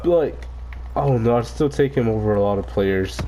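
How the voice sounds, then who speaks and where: A man's fairly low voice, animated in tone, at a moderate pace over noticeable background noise. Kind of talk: casual rant while gaming. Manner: animated, profane.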